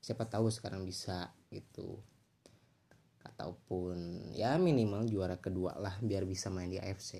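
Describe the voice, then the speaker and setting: Dark and mellow in tone, a man's very deep, low voice shows ordinary pitch variation. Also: fairly slow pace. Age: 20s. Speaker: university student podcaster. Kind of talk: solo casual podcast monologue. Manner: halting, many fillers and restarts.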